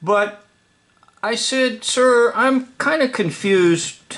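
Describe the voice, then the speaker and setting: Raised and projected, a man's voice moves at a very slow pace. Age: 60s. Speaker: video storyteller. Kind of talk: casual storytelling monologue. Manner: halting, with fillers and restarts.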